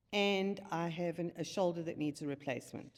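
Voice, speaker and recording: Using an ordinary speaking voice, a woman talks at a fairly low pitch and varies it in an ordinary way. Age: 60s. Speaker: retired fitness client. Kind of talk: casual chat.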